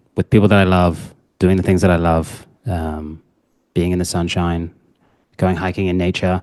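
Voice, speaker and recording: Over a quiet background, a man with a New Zealand accent talks at a very fast pace in a very deep, low pitch with fairly even intonation. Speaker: dating coach. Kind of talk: podcast interview.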